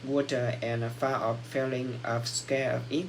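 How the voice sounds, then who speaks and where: Audible room echo surrounds a man whose intonation is monotone and flat. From Vietnam. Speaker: English learner. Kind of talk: speaking exam practice. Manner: halting.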